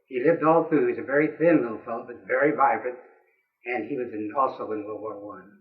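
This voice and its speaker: Very fast speech comes from a man with an American accent at medium pitch, showing ordinary pitch variation, with audible room echo. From US Midwest, Springfield, Missouri (Ozarks). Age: 80s+. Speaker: war veteran. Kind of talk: oral history interview.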